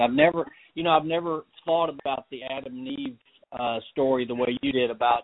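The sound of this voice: Speaking at a fairly quick pace and medium pitch, a man keeps a fairly even intonation in a dry, close sound with no echo.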